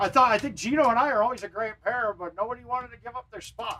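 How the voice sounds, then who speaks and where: A man's raised, projected voice, bright and sharp in tone, at a very fast pace with ordinary pitch variation. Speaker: gaming live streamer and pro arcade golf player. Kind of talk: casual live stream gameplay commentary. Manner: loud; animated.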